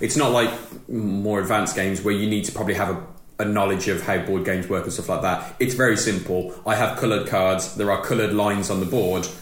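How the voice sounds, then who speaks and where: Over noticeable background noise, a man talks at a very fast pace with hardly any pauses. His pitch is fairly low and his intonation fairly even. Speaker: podcast co-host. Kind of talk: casual chat.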